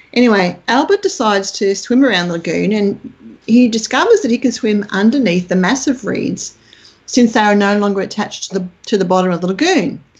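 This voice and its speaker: An Australian-accented woman speaks in a somewhat breathy voice at a medium pitch and moderate pace, with ordinary pitch variation. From Australia, country Queensland. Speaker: UFO researcher. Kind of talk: interview. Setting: remote call.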